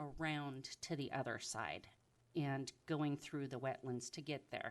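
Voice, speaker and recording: A woman speaks at a fairly slow pace. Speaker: public commenter at a planning meeting. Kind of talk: public testimony at a meeting. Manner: loud.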